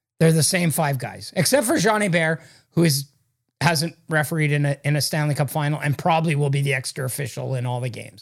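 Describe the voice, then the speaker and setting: A man's somewhat breathy voice at a very fast pace, on a very clean recording with a silent background. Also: ordinary pitch variation. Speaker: hockey journalist and podcast host. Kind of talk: casual sports talk chat. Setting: in-person, same room as co-host.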